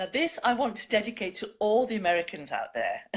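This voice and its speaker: In a British accent, a woman with a fairly high pitch swings her voice very widely up and down, with vocal fry. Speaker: online show host reading poetry. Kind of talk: casual chat.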